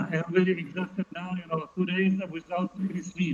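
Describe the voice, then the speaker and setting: Monotone, flat delivery from a man with a high pitch, at a moderate pace over noticeable background noise. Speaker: interpreter at a pest management lecture. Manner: halting.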